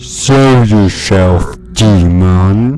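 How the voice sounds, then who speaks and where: Putting on a character voice at a fairly low pitch, a man speaks over clear background noise. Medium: machinima. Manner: brash, heroic.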